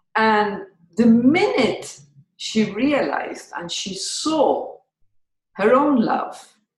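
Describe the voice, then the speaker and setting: This woman's voice is fairly high in pitch and somewhat breathy. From Malta. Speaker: podcast host. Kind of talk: interview answer.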